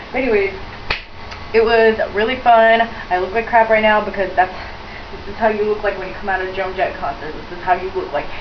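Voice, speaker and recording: A woman at a very fast pace, fairly high in pitch with fairly even intonation and long, frequent pauses, over noticeable background noise. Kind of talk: casual talk to camera.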